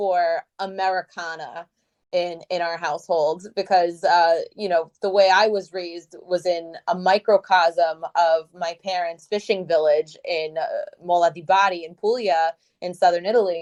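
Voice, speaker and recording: An ordinary speaking voice moves at a moderate pace with fairly even intonation. The sound is dry and close, with no echo. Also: woman. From Brooklyn, New York, Italian-American family. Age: 30s. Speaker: cookbook author and web series host. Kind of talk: interview.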